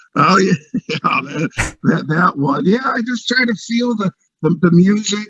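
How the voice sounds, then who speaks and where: A man projects a raised voice at a moderate pace with ordinary pitch variation, the sound dry and close with no echo. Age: 40s. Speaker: TikTok creator, podcast guest. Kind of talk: casual interview chat. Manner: halting, repeats words.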